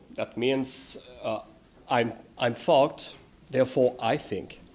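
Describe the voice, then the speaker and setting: A man with a strong French accent speaks at a fairly slow pace. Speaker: philosophy lecturer. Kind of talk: conference lecture reading. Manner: hesitant, many fillers.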